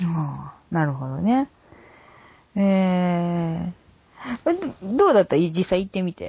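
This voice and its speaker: A woman with a fairly low pitch speaks at a very slow pace, leaving long, frequent pauses. Her voice is somewhat breathy and her intonation is lively. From Ehime, Japan. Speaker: podcast host. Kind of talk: casual chat.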